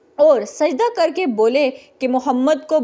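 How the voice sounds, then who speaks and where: A woman with a dark, mellow tone talks using ordinary pitch variation. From Pakistan. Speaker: voice-over artist. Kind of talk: religious story narration.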